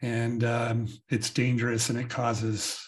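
Against a quiet background, a man speaks in a somewhat breathy voice at medium pitch. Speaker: podcast host. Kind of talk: casual interview. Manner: halting, with fillers.

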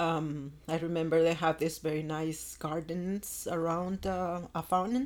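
A woman speaks at a fairly slow pace with a low pitch and little pitch movement.

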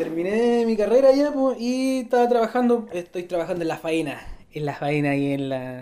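A woman with a Chilean accent at medium pitch, at a moderate pace, with very wide pitch swings. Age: 20s. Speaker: mine worker. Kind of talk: casual chat.

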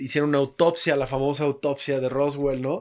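A man's fairly high-pitched voice on a very clean recording with a silent background. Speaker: podcast host. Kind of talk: casual chat.

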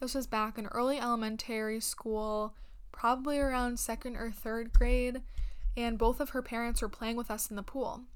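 In a room with audible echo, a woman speaks in a fairly high pitch with monotone, flat intonation. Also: moderate pace. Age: 20s. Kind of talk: devotional talk. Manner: earnest.

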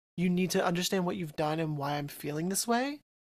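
In a very clean recording with a silent background, a man speaks with an American accent. His pitch is high, with ordinary variation. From New Jersey. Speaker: podcast host. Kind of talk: casual chat.

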